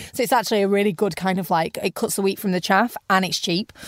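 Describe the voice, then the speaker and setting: A woman with a British accent speaks at a very fast pace and a medium pitch. The recording is very clean and dry, with a close sound, no echo and a silent background. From UK. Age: 30s. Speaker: entrepreneur. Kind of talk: interview. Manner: animated.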